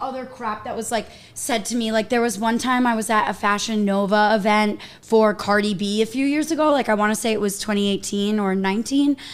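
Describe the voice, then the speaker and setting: A woman's fairly high voice at a fairly quick pace, over noticeable background noise. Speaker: social media influencer doing makeup. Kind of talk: casual chat on livestream. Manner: loud.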